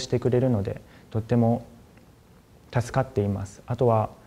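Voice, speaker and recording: In a dark, mellow, somewhat breathy voice, a man speaks at a fairly quick pace with monotone, flat intonation. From Japan. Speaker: university student. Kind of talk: testimonial. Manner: halting, many fillers. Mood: calm, positive. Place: office. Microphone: lapel.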